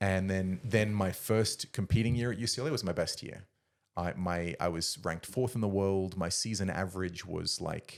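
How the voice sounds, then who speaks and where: A man's fairly low voice with an Australian accent at a moderate pace. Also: ordinary pitch variation, very clean recording, silent background. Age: 30s. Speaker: former Olympic discus thrower. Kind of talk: casual chat.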